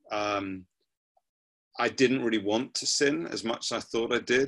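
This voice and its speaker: Speaking at a moderate pace, a man with a southern English accent uses a medium pitch and ordinary pitch variation. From southern England, Surrey. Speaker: pastor and prayer movement founder. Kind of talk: interview.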